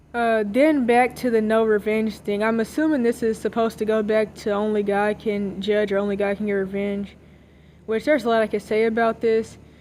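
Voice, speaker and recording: Her pace is fairly quick and her pitch fairly high. The woman keeps her intonation fairly even. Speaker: commentary channel vlogger. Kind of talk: opinion monologue. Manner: fast; casual with many fillers.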